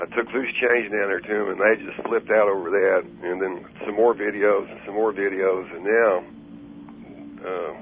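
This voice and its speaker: A man with a fairly low pitch speaks at a moderate pace with fairly even intonation. His loudness swings widely, over noticeable background noise. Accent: Texan. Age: 60s. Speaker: caller. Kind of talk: call-in radio conversation. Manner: halting.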